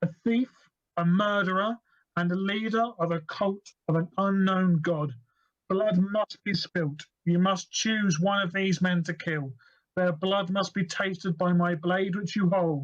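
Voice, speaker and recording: A booming, put-on character voice at a middle pitch delivers its lines at a moderate pace. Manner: menacing, commanding.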